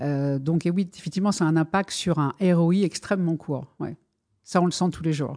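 This woman has an ordinary speaking voice, fairly low in pitch, with fairly even intonation. She speaks at a moderate pace against a quiet background. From France. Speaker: purchasing director. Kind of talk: interview.

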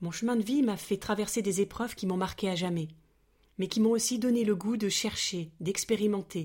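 Somewhat breathy and fairly even in intonation, the voice moves at a moderate pace on a very clean recording with a silent background. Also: woman. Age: 40s. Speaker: podcast host. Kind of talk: scripted narration. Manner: soft-spoken.

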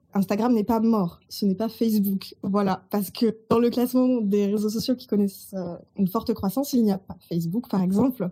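A woman with a fairly high pitch and a dark, mellow, somewhat breathy tone speaks at a moderate pace with hardly any pauses. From Burgundy, France. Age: 30s. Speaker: social media consultant. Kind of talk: podcast interview.

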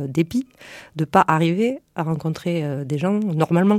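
A very clean recording with a silent background, dry, close sound without echo, and ordinary pitch variation. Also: woman. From France, Lot countryside. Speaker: entrepreneur, former biomedical engineer. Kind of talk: radio interview. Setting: radio studio. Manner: halting.

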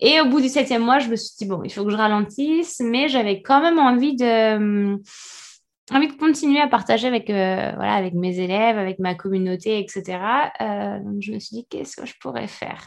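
A woman with an ordinary speaking voice talks at a fairly high pitch with lively intonation. Her loudness swings widely over a quiet background. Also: moderate pace. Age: 30s. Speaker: meditation and yoga teacher. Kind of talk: casual interview.

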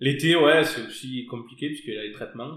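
Audible room echo hangs around this voice. The man speaks with vocal fry. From southern France, Hérault. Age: 30s. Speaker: winegrower. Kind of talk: casual interview. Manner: hesitant, with fillers.

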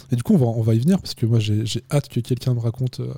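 A somewhat breathy voice with a dark, mellow tone goes by at a very fast pace. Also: man. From Chamonix, French Alps. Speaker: podcast host. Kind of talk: casual interview. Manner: hesitant, many filler words.

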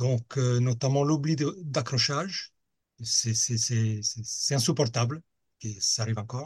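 A man speaks at a fairly slow pace with a somewhat breathy voice and ordinary pitch variation. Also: quiet background. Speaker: hang-gliding club safety officer. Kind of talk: interview.

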